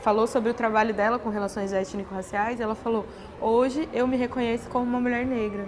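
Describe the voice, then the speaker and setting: Over noticeable background noise, a woman speaks fairly quickly in a flat, monotone way at a fairly high pitch. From Brazil, interior of São Paulo state. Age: 20s. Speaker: teacher-training course participant. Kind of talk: interview. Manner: hesitant, many fillers.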